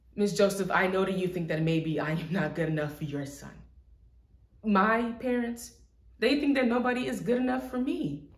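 A woman's somewhat breathy voice at a moderate pace, with audible room echo. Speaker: actor performing an audition monologue. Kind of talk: dramatic monologue. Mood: earnest, emotional, confrontational. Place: empty room.

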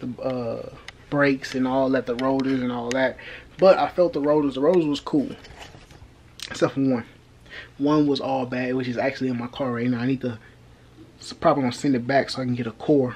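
Light background noise sits under a man talking at a fairly quick pace with fairly even intonation. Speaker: car project vlogger. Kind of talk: casual vlog chat. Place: home room. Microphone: phone near.

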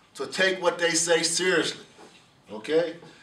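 The speaker has an American accent. Audible room echo surrounds the voice. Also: man. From United States. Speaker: program director of a law enforcement training academy. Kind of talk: welcome address to a class. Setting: in-person address to a class. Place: meeting room. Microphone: camera far.

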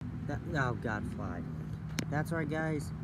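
A man is heard over loud background noise, the sound dry with no echo. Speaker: vlogger. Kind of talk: casual vlog chat. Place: forest. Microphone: phone near.

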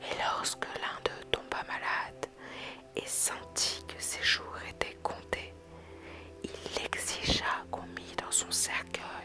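Over music in the background, someone whispers at a very slow pace. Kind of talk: whispered ASMR story reading. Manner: whispered.

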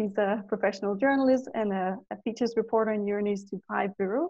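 Speaking fairly quickly, a woman at a medium pitch uses fairly even intonation and a slightly mellow tone.

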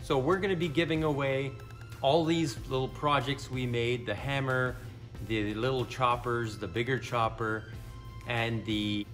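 Over faint background music, a man speaks at a fairly slow pace with ordinary pitch variation. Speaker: channel host. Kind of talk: casual vlog chat. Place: workshop.

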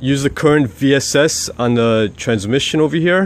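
A man speaks with ordinary pitch variation in a dry sound with no echo. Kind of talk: tutorial. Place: street. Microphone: phone near.

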